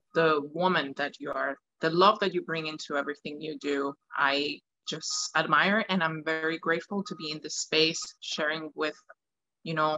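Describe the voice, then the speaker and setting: A woman speaks in a very deep, low voice with a Spanish accent. Her intonation is fairly even and her pace moderate. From Venezuela, Caracas. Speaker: opera singer. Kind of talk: interview.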